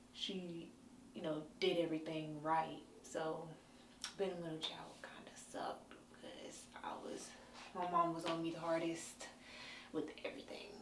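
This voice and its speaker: A woman with a fairly low pitch speaks in monotone, flat intonation with long, frequent pauses. Audible room echo and noticeable background noise fill the recording. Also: moderate pace. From North Carolina, small town. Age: 20s. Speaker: interviewee sharing life story. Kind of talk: personal interview testimony. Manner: hesitant, many fillers.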